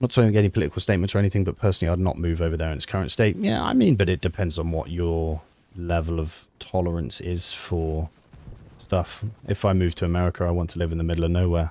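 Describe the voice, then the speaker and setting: In a British accent, a man speaks at a very fast pace with a very deep, low pitch, a dark, mellow tone and fairly even intonation. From UK. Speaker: streamer and ex-army sniper. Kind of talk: live gameplay stream chat. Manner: casual, chatty.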